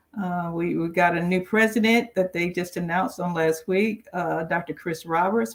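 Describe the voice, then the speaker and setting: A woman's fairly low voice in a Southern US accent, at a fairly quick pace with ordinary pitch variation. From Alabama, Mobile. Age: 60s. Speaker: roundtable panelist. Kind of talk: casual chat.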